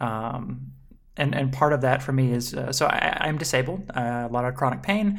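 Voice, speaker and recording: Someone speaks in a Southern US accent at a moderate pace. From US South, Mississippi. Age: 20s. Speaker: web video comedy creator. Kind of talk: casual chat.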